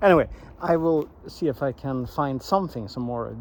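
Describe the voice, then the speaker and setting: A man with a Swedish accent at a moderate pace with lively intonation. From Sweden. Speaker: vlogger. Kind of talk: walking vlog. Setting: outdoors in a forest. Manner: halting, many restarts and fillers.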